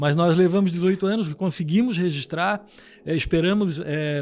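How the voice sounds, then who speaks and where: A man talks with ordinary pitch variation. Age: 60s. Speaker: businessman. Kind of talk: interview. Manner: halting, with many repetitions.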